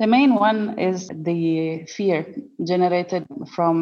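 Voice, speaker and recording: Pitch moves in an ordinary way beneath a dark, mellow tone. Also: woman. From Italy. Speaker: humanitarian worker. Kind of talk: interview.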